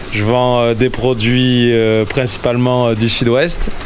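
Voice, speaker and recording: Noticeable background noise accompanies a man speaking at a fairly slow pace and a medium pitch. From Landes, southwest France. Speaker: rotisserie owner, market trader. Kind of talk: interview.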